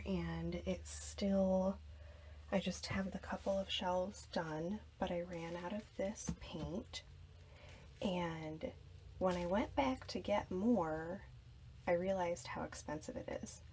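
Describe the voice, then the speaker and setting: Soft-spoken, a woman talks at a very slow pace. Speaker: lifestyle vlogger. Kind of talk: casual vlog. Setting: in her closet at home.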